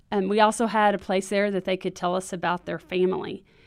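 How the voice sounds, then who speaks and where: A plain, everyday voice talks at a fairly quick pace. The recording is very clean, with a silent background. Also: woman. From Texas. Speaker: children's ministry trainer. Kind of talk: podcast interview.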